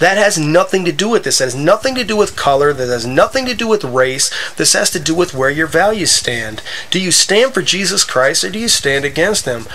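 With an American accent, a man speaks at a fairly quick pace and a high pitch, his pitch swinging very widely. Noticeable background noise runs underneath. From US Midwest (Wisconsin). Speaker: gaming video creator. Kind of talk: gameplay commentary with religious monologue. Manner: halting, many fillers.

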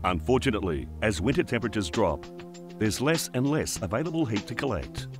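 A man's fairly low voice at a fairly quick pace, with very wide pitch swings and music in the background. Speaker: voiceover narrator. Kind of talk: corporate explainer narration.

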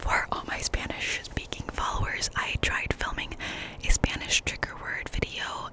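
With loud background noise and a dry sound with no echo, a woman speaks at a fairly slow pace. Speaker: ASMR creator. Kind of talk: casual vlog chat. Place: open country. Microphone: studio mic.

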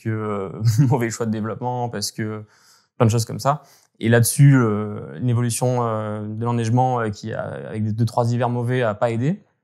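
A man talks with fairly even intonation over a quiet background. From French Alps, Hautes-Alpes (Gap); Hautes-Alpes, France. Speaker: climate researcher and former ski journalist; guest, former journalist. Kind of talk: interview. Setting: remote call. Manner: halting, many hesitations. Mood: calm, thoughtful, concerned. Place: home room.

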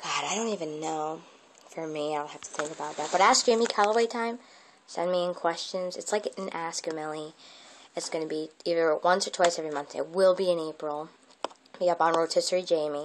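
A woman with a fairly low voice talks at a fairly quick pace with ordinary pitch variation. Her loudness swings widely over light background noise. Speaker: vlogger. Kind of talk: casual vlog chat. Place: home room. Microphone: earbuds.

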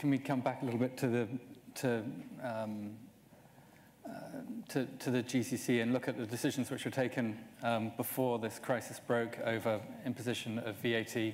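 Long, frequent pauses mark a man's speech at a moderate pace. His intonation is monotone and flat. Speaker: journalist. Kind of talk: panel interview. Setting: stage with audience. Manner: hesitant, repeats words. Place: stage. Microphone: lapel.

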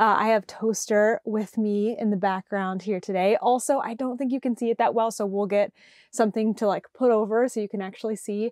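With fairly even intonation, a woman speaks at a fairly quick pace in a dry sound with no echo and a quiet background. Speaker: podcast host. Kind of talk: casual vlog chat. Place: home room. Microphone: lapel.

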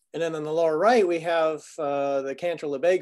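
With little noise around him, a man speaks at a moderate pace. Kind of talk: lecture. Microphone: video call.

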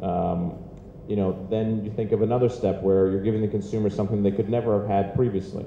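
There is audible room echo and light background noise around this man's fairly low voice. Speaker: media company executive on a panel. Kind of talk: interview answer. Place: hall. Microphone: handheld.

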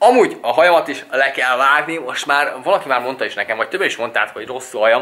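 Noticeable background noise sits behind a man talking at a very fast pace. His pitch is fairly high, with ordinary variation. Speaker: vlogger. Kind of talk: casual vlog talk to camera.

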